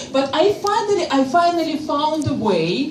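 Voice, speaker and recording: Amid noticeable background noise, a woman with a Russian accent speaks at a very slow pace. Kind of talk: stand-up comedy performance. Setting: live audience on stage.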